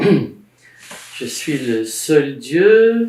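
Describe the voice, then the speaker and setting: This man's voice carries audible room echo. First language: Arabic (speaking French). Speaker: Egyptologist and author. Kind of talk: casual conversation about religious history. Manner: halting, many hesitations.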